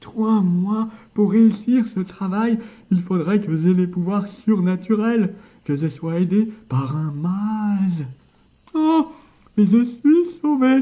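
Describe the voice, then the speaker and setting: A man puts on a character voice, high in pitch and very slow, with long, frequent pauses. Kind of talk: comic book read-aloud with character voices.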